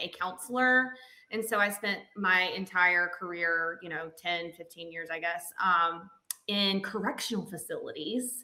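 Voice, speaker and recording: A woman with a Southern accent. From Alabama (Montgomery). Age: 30s. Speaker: counselor and coach's wife. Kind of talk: casual interview chat. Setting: podcast interview.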